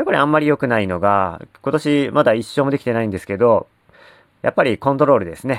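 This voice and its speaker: With a dry, close sound and no echo, a man talks at a very fast pace in a medium pitch, his intonation lively. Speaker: sports fan podcaster. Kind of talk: solo monologue. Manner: casual, many filler words.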